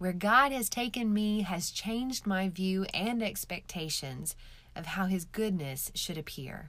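With lively intonation, a woman speaks at a medium pitch. She has an ordinary speaking voice. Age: 40s. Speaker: author reading her own book. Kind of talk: reading aloud.

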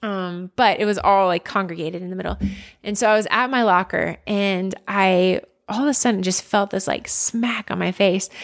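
On a very clean recording with a silent background, a woman with an ordinary speaking voice talks in an American accent. Her medium pitch carries fairly even intonation at a moderate pace. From suburban Philadelphia, Pennsylvania. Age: 30s. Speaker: former college athlete. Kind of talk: casual interview chat.

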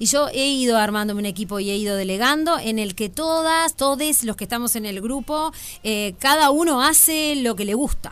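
With a Uruguayan accent, a woman speaks at a moderate pace in a high pitch, with lively intonation and hardly any pauses. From Uruguay, Canelones. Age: 40s. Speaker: comedian. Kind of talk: casual chat.

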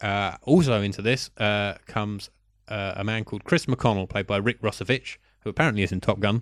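In a British accent, the speaker talks at a fairly quick pace over a very clean recording with a silent background. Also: man, fairly low pitch for a man, ordinary pitch variation. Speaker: film podcast co-host. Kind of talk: casual chat.

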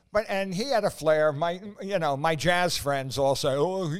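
A man with a fairly high pitch speaks at a moderate pace in a normal speaking voice. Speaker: co-host. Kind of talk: casual chat. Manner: joking.

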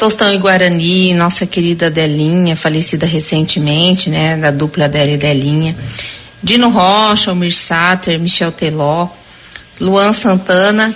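A woman's fairly low voice at a fairly slow pace, very even in loudness, over noticeable background noise. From Mato Grosso do Sul. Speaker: businesswoman. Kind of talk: recorded message.

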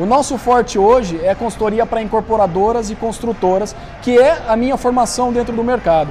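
Over noticeable background noise, a man speaks fairly quickly in a high pitch with ordinary pitch variation. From Brazil, Campinas (São Paulo state). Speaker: real estate marketing consultant. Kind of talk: podcast interview.

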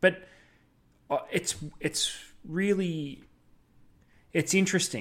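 A high-pitched man with an Australian accent, on a very clean recording with a silent background. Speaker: fishing podcast co-host. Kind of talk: casual chat.

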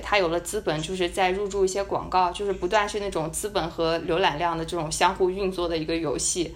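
Noticeable background noise behind a woman speaking at medium pitch. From China. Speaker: podcast co-host, student abroad. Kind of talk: casual chat. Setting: at home, remote recording.

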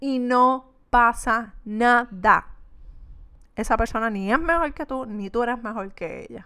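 Woman's voice, fairly high in pitch and fairly slow, in a very clean recording with a silent background. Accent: Puerto Rican. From Puerto Rico. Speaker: podcast host, entrepreneur. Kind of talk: solo podcast monologue. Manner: meandering, conversational.

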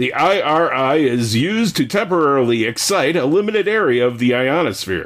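Speaking at a moderate pace with hardly any pauses, a man uses a fairly high pitch with very wide pitch swings and keeps his loudness very even. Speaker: podcast co-host. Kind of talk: casual chat.

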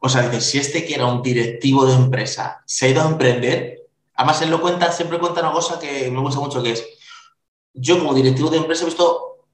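A man speaks in a normal speaking voice at a fairly high pitch. His pace is fairly quick, and his pitch variation is ordinary. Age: 40s. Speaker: podcast host. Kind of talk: interview.

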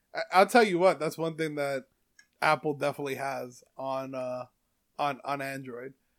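A man with a plain, everyday voice speaks at a moderate pace and fairly high pitch, with big swings in loudness on a very clean recording with a silent background. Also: ordinary pitch variation. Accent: American. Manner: casual, profane.

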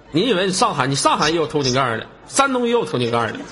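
Over noticeable background noise and audible room echo, a high-voiced man talks at a very fast pace with very wide pitch swings. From Changchun, northeast China. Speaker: live-stream chat host. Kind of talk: live-stream call-in chat. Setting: online voice live stream. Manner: animated.

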